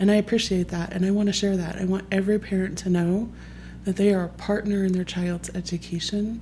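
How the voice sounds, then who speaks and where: At a fairly quick pace, a woman speaks in a medium pitch with a monotone, flat intonation. Her tone is dark and mellow, and somewhat breathy. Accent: American. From Texas. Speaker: parent association leader. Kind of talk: podcast interview.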